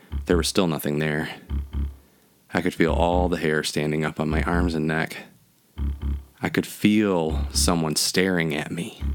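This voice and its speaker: Over music in the background, a man with a very deep, low pitch speaks in a monotone with flat intonation at a moderate pace. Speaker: horror podcaster. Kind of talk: horror narration, spooky storytelling. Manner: dramatic, eerie.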